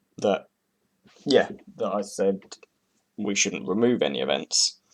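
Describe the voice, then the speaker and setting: Someone with a British accent talks at a fairly slow pace. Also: man. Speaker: speedcuber. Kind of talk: casual reaction commentary. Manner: hesitant, rambling.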